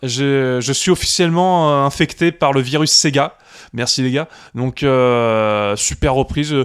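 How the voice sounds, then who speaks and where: This man's voice sits fairly high in pitch, with ordinary variation. He speaks at a very slow pace. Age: 40s. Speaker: podcast co-host. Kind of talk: casual chat.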